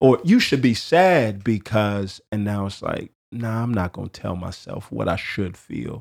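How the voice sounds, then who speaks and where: With an ordinary speaking voice, a man talks with hardly any pauses at a fairly low pitch, his pitch varying in an ordinary way and his loudness swinging widely. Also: fairly slow pace. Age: 30s. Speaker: podcast host. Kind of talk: casual chat.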